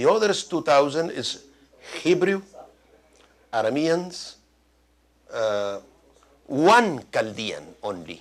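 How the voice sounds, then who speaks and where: With a Spanish accent, a man speaks at a fairly high pitch, his voice making very wide pitch swings. He leaves long, frequent pauses. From Mexico (born in Iraq, moved as a small child). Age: 70s. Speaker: doctor and lecturer. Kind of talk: Q&A after a lecture. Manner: halting, with many fillers.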